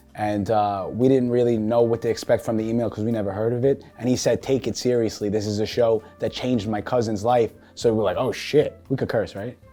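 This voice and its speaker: A man with a New York accent talks at a fairly quick pace in a flat, monotone delivery. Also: medium pitch for a man. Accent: New York, Staten Island. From Staten Island, New York. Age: 20s. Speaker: reality show contestant. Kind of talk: interview answers.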